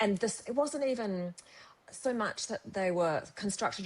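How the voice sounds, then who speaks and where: Speaking with an Australian accent, a woman keeps a moderate pace and ordinary pitch variation. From Australia, Perth. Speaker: novelist. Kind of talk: casual chat.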